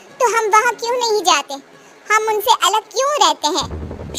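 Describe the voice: Cartoonish character voice from a woman, extremely high in pitch, at a moderate pace.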